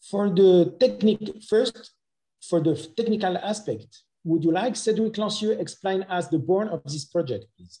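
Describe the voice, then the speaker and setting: With a French accent, a man speaks at a moderate pace in a high pitch and a dark, mellow tone, his loudness swinging widely. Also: ordinary pitch variation. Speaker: dentist presenting clinical cases. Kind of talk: webinar presentation. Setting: online webinar.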